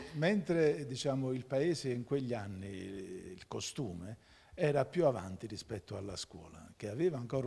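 A man talks at a moderate pace with lively intonation and a somewhat breathy voice. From Campania, Giugliano near Naples; Campania, Italy. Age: 60s. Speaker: lawyer. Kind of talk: TV interview. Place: studio. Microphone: handheld.

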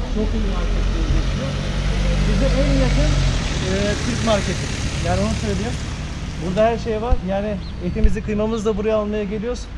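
A man speaks at a moderate pace while noticeable background noise is heard. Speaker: vlogger. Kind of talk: casual vlog chat. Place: street. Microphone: camera far.

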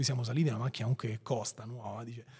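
A man's somewhat breathy voice is heard over a quiet background. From Rome outskirts, Italy; Italy. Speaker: entrepreneur; podcast guest. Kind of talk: interview. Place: studio. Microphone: studio mic.

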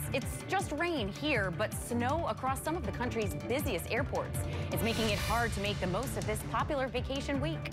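Over loud background music, a woman talks at a moderate pace with very even loudness and hardly any pauses. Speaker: TV news anchor. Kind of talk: TV news read. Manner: over-pronounces words, laughs often. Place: studio. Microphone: lapel.

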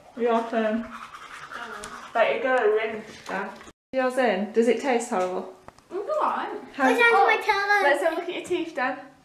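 A woman speaks at a moderate pace with a high pitch and very wide pitch swings. Her long pauses come often, over noticeable background noise. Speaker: family vlogger, parent. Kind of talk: casual family vlog. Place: home room. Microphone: phone near.

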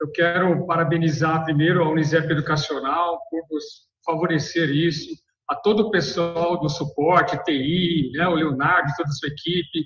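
A man with a high pitch at a moderate pace, with audible room echo over a quiet background. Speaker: professor. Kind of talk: webinar remarks. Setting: classroom without headset. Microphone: video call.

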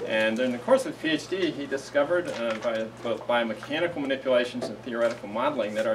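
A man speaks fairly quickly with ordinary pitch variation. Noticeable background noise runs behind him. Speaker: host introducing a seminar speaker. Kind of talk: speaker introduction. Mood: warm and jokey. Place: classroom. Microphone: camera far.

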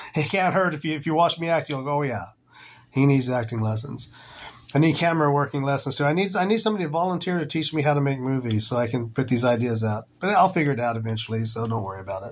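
A man's somewhat breathy voice at a very fast pace. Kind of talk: casual vlog chat. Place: home room. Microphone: phone near.

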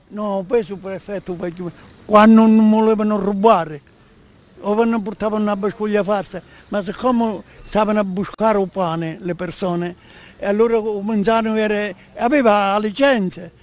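A man talks in a high voice at a moderate pace, his intonation fairly even, with long, frequent pauses and a dry sound with no echo. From Mazzarino, Sicily. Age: 80s+. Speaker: elderly local interviewee. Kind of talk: interview answer. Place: street. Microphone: handheld.

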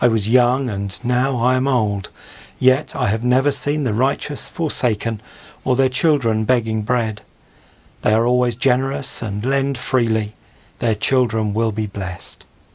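With fairly even intonation, a man speaks at a fairly slow pace. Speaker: church service reader. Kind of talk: scripture reading.

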